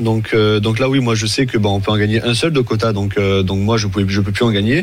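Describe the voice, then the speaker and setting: There is noticeable background noise behind this man. He speaks at a fairly quick pace with a medium pitch. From Montpellier, France. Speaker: sport shooter. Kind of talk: interview.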